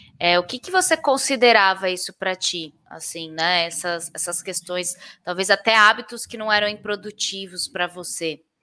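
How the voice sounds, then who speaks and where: A woman with an unremarkable speaking voice at a medium pitch and moderate pace, with hardly any pauses, ordinary pitch variation and big swings in loudness. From interior of São Paulo state, Brazil. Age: 30s. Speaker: podcast host. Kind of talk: casual interview.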